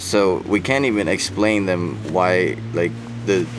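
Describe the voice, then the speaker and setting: With audible room echo and noticeable background noise, a man talks at a fairly slow pace in a very deep, low voice with ordinary pitch variation. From Denmark. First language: Danish. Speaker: travel vlogger. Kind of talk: casual chat.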